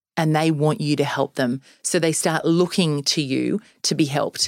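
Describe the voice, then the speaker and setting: On a very clean recording with a silent background and a dry, close sound with no echo, a woman speaks at a very deep, low pitch with an Australian accent. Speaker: sales trainer and business founder. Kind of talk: interview. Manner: energetic, upbeat.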